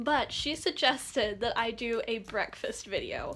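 A woman at a fairly slow pace with lively intonation, music in the background. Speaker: art channel host. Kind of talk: casual tutorial vlog. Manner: casual, chatty.

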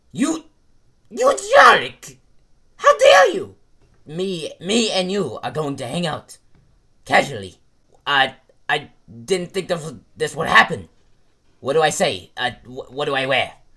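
Putting on a character voice, a man speaks high-pitched at a fairly slow pace with long, frequent pauses. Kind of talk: comic overacting. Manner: pompous, melodramatic, flustered.

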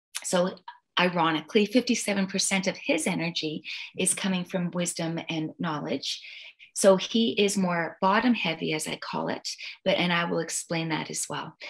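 A plain, everyday voice moves at a fairly slow pace with ordinary pitch variation. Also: woman, fairly low pitch for a woman. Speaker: personality and relationship coach. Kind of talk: coaching conversation.

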